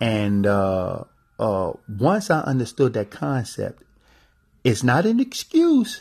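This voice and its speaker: A man talks in a somewhat breathy voice at a medium pitch. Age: 40s. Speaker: podcast host and travel specialist. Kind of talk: motivational monologue. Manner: halting with many fillers and repetitions.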